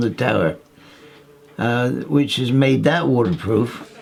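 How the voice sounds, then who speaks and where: A man with a Cornish accent speaks at a fairly slow pace. Music plays in the background, and the room echo is audible. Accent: Cornish West Country English. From Cornwall, southwest England. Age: 80s+. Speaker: retired fishing tackle salesman and local villager. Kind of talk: documentary interview, reminiscing. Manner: halting, with repetitions and fillers.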